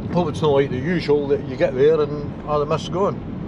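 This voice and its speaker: The speech moves at a moderate pace. There is noticeable background noise. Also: man. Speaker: driver vlogger. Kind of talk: casual vlog chat. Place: car. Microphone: phone near.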